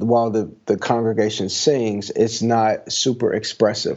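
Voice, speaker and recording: A man's medium-pitched voice with an American accent, fairly even intonation and a fairly slow pace. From Chicago area, US Midwest. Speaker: worship pastor. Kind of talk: casual interview. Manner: hesitant, with fillers and repetitions.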